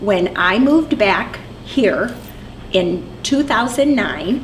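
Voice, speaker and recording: Her lively intonation comes through noticeable background noise and audible room echo as this woman speaks. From US Midwest, eastern Iowa. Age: 60s. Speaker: longtime resident, religious education director. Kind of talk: interview.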